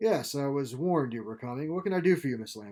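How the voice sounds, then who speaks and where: An ordinary speaking voice comes from a man at medium pitch with lively intonation. His pace is fairly quick, and the recording is very clean with a silent background. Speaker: author narrating his own fiction. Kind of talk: audiobook-style crime story reading.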